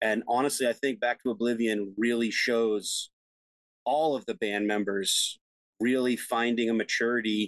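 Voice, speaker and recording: Sounding dry and close with no echo, a man with an American accent speaks in an ordinary speaking voice at medium pitch and a moderate pace, with very even loudness and fairly even intonation. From West Texas. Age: 40s. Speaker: band vocalist. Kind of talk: casual chat.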